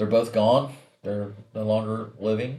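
This is a man with an American accent. His pitch sits in the medium range. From USA. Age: 60s. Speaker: podcast host, parent. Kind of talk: monologue podcast, personal story. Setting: video podcast.

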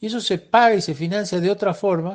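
The speech runs at a fairly quick pace with ordinary pitch variation. The background is quiet. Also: man. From Argentina, Salta. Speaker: software engineer. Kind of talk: recorded voice messages answering interview questions.

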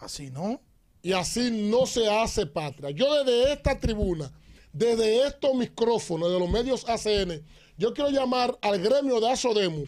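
A man's extremely high pitch at a very slow pace, in a very clean recording with a silent background. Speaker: pastor and commentator. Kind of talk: political commentary.

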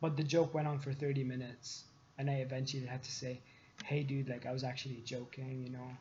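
A man's somewhat breathy, monotone, flat voice at a very fast pace. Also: medium pitch for a man. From Lebanon. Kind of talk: casual chat.

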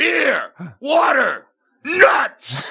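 A man shouts in a put-on character voice. His pitch is extremely high. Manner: screaming, barking.

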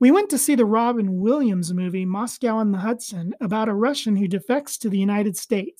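The text is read aloud in a natural voice. Pitch moves in an ordinary way.

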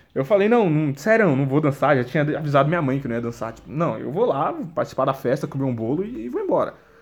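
A man talks very fast in an animated tone, fairly high-pitched, with very wide pitch swings. Noticeable background noise runs behind him. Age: 20s. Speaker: solo podcaster. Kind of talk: casual monologue. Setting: at home, sitting on the floor.

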